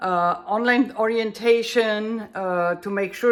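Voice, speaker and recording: With a German accent, a woman speaks at a very slow pace. Her voice is fairly high, and her intonation is fairly even. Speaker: bass student and translator. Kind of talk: tutorial. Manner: halting, searching for words.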